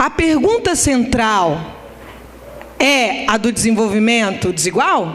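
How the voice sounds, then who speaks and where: With audible room echo and noticeable background noise, a woman speaks very slowly at a fairly high pitch, her pitch swinging very widely. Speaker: economics professor. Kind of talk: conference lecture. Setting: conference hall with audience.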